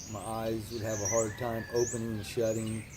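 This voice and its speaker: A man with an American accent speaks at a medium pitch, with audible room echo around him. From California. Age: 30s. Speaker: recovering addict. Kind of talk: interview. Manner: hesitant, many fillers.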